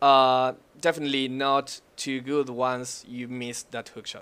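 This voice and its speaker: In a very clean recording with a silent background, a man speaks with a non-native accent. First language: not English. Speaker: gaming analyst. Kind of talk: casual chat.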